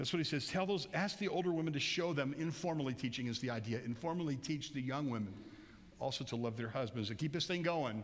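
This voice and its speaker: With audible room echo, a man talks very fast in a fairly high voice with lively intonation. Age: 60s. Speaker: pastor. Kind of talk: sermon. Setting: church. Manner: loud; animated.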